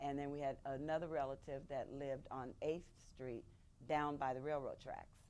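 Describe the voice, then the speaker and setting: A woman with an American accent has a very deep, low pitch and a dark, mellow tone. She speaks at a fairly slow pace with fairly even intonation. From San Bernardino, California. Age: 60s. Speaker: oral history interviewee. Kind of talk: oral history interview.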